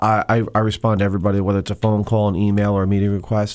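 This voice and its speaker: A man rattles along at a very fast pace in an American accent. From New Jersey, Monmouth County. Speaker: state legislator, former police officer. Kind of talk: radio interview.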